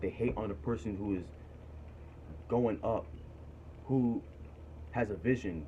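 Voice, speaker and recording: Here is a man with an American accent and a fairly low pitch, showing ordinary pitch variation. His tone is dark and mellow, and somewhat breathy. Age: 20s. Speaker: vlogger giving career advice. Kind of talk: casual monologue vlog. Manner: animated, emphatic.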